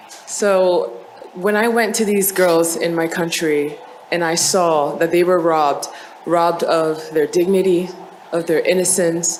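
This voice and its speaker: A woman with a fairly low pitch speaks with fairly even intonation. Noticeable background noise and audible room echo surround her voice. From Côte d'Ivoire. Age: 20s. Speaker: beauty pageant contestant. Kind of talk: pageant speech.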